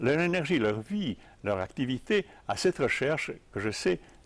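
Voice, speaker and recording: The speaker's pitch swings very widely, and vocal fry comes through. The pace stays moderate. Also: man. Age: old. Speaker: tai chi teacher. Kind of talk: interview. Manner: halting.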